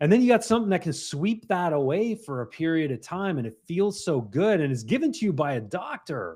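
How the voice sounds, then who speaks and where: Over a quiet background, a man with a slight Canadian accent talks at a fairly quick pace in a high voice, his pitch swinging very widely and hardly any pauses breaking his speech. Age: 50s. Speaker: mindset coach. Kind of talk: casual interview chat.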